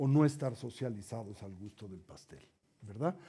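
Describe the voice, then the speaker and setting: A man speaks at a moderate pace with lively intonation and a somewhat breathy voice. His tone is dark and mellow. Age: 60s. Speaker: Buddhist teacher. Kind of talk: lecture.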